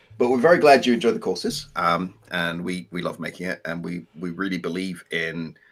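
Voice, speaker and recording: This man speaks with an English accent. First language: French. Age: 40s. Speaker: co-host of game development live stream, English teacher. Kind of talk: casual live stream chat. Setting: live stream.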